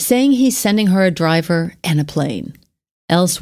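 With lively intonation, someone reads aloud in a natural voice while the background stays quiet.

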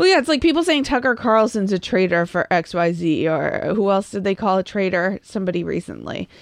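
With an American accent and a plain, everyday voice, a woman talks at medium pitch and a fairly quick pace with hardly any pauses, recorded dry and close with no echo. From Massachusetts. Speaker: podcast co-host. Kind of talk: casual chat.

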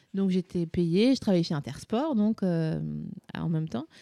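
In a very clean recording with a silent background, a woman talks at a fairly slow pace with a dark, mellow tone and a dry, close sound with no echo. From Vosges, eastern France. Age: 30s. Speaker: podcaster and comedy creator. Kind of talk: casual chat.

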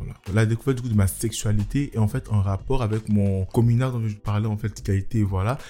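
With a dark, mellow tone, a man speaks at a fairly quick pace, his intonation fairly even and hardly any pauses breaking it up. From Côte d'Ivoire (Abidjan). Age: 20s. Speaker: lawyer and photographer. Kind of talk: testimony.

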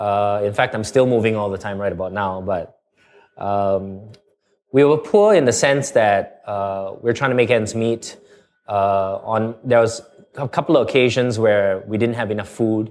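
With ordinary pitch variation, a man speaks at a medium pitch and a fairly slow pace. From Singapore, childhood in Canada. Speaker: entrepreneur and former radio DJ. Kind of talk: interview conversation. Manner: animated.

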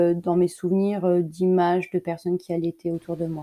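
A woman at a medium pitch speaks in a monotone, flat intonation with a dark, mellow tone, the sound dry and close with no echo. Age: 40s. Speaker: emergency nurse and mother of five. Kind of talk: interview, personal breastfeeding testimony.

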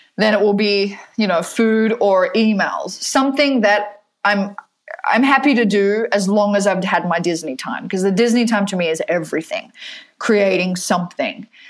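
A woman speaks at a moderate pace, medium in pitch, with ordinary pitch variation. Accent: American. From Perth, Western Australia. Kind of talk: casual interview chat.

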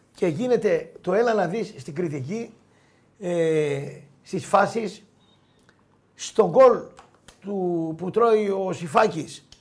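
Speaking at a very slow pace with long, frequent pauses, a man uses a high voice with ordinary pitch variation. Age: 50s. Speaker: sports journalist. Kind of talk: casual chat. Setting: studio.

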